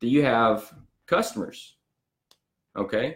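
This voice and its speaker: Here is a man with a Southern US accent. His intonation is lively and his pace fairly slow. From US South. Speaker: business owner and marketing coach. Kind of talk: storytelling business talk. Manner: animated.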